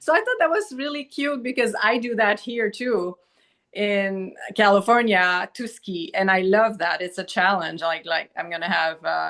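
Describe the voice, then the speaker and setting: A woman's bright, sharp voice with a Quebec accent and lively intonation. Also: medium pitch for a woman, moderate pace. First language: Quebec French. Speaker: doctor, podcast guest. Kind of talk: casual chat. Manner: halting.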